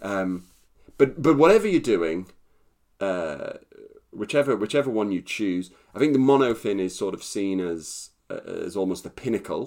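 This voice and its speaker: A man with a fairly low pitch and lively intonation at a fairly slow pace, in a normal speaking voice, in a very clean recording with a silent background. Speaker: podcast co-host. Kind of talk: casual storytelling chat.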